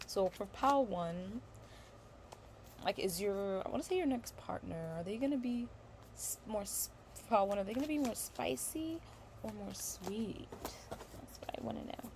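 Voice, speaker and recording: Speaking at a medium pitch and a moderate pace, a woman swings her pitch very widely. She leaves long, frequent pauses over noticeable background noise. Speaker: tarot reader. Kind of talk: tarot reading livestream. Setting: livestream. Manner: halting, self-correcting.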